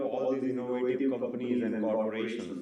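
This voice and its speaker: Audible room echo surrounds a man speaking with a Gujarati accent. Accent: Indian English, Gujarati. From India, Gujarat (village). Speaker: educational YouTuber, data teacher. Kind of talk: talk at live meetup. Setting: live event with audience.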